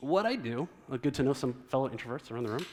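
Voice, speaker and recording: Here a man speaks with lively intonation. His pitch is fairly high. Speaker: design leadership speaker. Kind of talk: conference talk. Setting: stage with audience. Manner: fast; animated.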